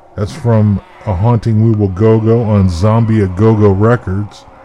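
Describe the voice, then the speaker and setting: A playful tone at a very slow pace over noticeable background noise. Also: man. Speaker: radio host. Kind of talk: radio DJ patter: back-announcing sets, band names, albums and labels between songs. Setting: internet radio studio show. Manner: folksy and playful, with a drawling "howdy" style and spooky "ooh" asides; casual, rattling through track lists, then a profane sign-off.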